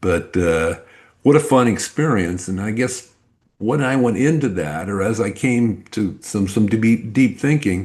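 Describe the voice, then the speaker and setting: Speaking in an unremarkable speaking voice, a man uses lively intonation at a fairly low pitch and a fairly slow pace. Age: 60s. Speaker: business coach. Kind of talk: interview. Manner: casual.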